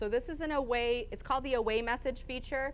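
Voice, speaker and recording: A woman speaks at a fairly quick pace in a fairly high voice, with audible echo from the room. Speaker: conference speaker. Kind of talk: conference talk. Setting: stage with live and online audience. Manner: fast.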